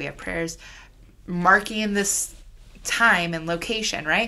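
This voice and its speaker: In a Chicago accent, a woman with a fairly low pitch talks with fairly even intonation and a bright, sharp tone. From Chicago area, US Midwest. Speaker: rabbi. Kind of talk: casual interview.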